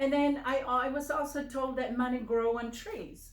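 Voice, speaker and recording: Over audible room echo, a woman talks at a moderate pace in a high pitch. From Samoa. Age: 70s. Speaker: finance trainer. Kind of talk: casual interview. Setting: home office.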